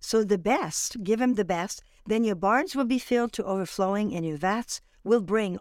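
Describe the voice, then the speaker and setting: In a French accent, a woman speaks at a moderate pace with ordinary pitch variation. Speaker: guest, ministry speaker. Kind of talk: interview, religious talk.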